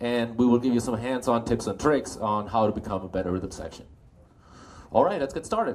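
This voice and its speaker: A medium-pitched man in a German accent, at a fairly quick pace with ordinary pitch variation. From Germany. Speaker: bass player and clinic instructor. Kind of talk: live clinic talk. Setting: music store clinic with audience.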